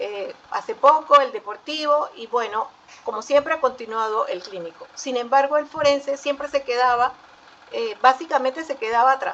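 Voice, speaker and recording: Over noticeable background noise, a woman speaks at a moderate pace in a high pitch with ordinary variation. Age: 60s. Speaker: forensic psychologist. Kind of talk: panel talk. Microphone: audio slightly distorted.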